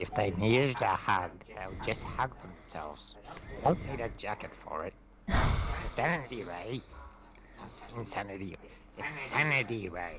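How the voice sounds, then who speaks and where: There is clear background noise as a man does a put-on character voice at a fairly low pitch. He moves at a moderate pace with long, frequent pauses. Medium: actual play.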